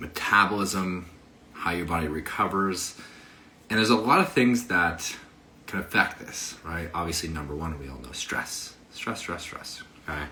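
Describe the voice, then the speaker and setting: With an animated tone, a man speaks in a very deep, low voice at a moderate pace, showing ordinary pitch variation and big swings in loudness amid noticeable background noise and audible room echo. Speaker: fitness coach. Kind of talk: casual livestream talk on health.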